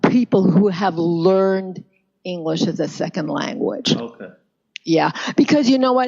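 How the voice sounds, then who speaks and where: Pitch swings very widely from high to low. The pace is moderate, with a Canadian accent. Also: woman, medium pitch for a woman. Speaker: pronunciation coach. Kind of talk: interview answer.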